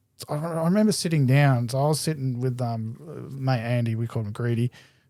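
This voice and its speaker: In an Australian accent, a man speaks with a dark, mellow tone. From Adelaide, South Australia. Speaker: BMX rider. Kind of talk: casual chat. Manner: loud, talkative.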